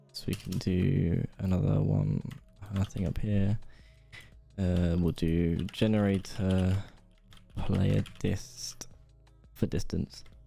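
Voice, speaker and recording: With music in the background, a man with a very deep, low pitch talks at a very slow pace, leaving long, frequent pauses. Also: ordinary pitch variation. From England. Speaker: game developer streamer. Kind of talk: live stream commentary while coding. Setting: live stream. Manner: casual, hesitant with fillers.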